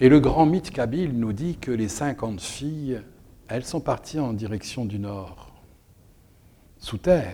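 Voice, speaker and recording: A man's dark, mellow voice at medium pitch, very slow, with long, frequent pauses, on a very clean recording with a silent background. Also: lively intonation. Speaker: storyteller. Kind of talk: dramatic storytelling of a myth, told as an oral tale with a rhythmic, incantatory build. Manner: animated, with short repetitive mirrored phrases that build tension.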